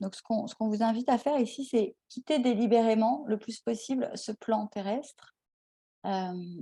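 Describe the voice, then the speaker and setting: A woman speaks with a dark, mellow tone that is somewhat breathy, and her pitch varies in an ordinary way. The sound is dry and close, with no echo. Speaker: tarot card reader. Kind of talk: card reading guidance. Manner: slow; halting, many hesitations.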